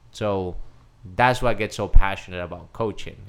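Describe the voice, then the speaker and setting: A man with a Spanish accent speaks at a fairly slow pace and a fairly low pitch, with ordinary pitch variation, on a very clean recording with a silent background. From Colombia (Cali). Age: 30s. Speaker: life coach. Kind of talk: casual interview.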